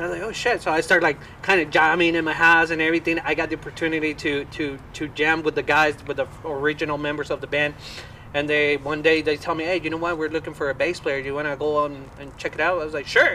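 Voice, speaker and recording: A man's fairly high voice, very fast and in a monotone, flat intonation, over noticeable background noise. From Colombia. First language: Spanish. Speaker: rock band musician. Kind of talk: casual chat.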